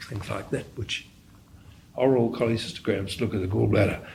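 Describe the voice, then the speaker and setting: A man's voice with audible room echo. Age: 70s. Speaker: radiologist. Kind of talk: interview. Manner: halting, with frequent repetitions.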